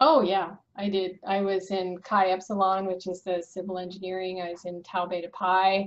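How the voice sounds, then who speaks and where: With an American accent, a woman speaks at a moderate pace with hardly any pauses. Her intonation is monotone and flat. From US East Coast. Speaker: structural engineer, firm founder; podcast guest. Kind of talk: casual interview. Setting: video or phone call. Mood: relaxed, reminiscing. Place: home room. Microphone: webcam.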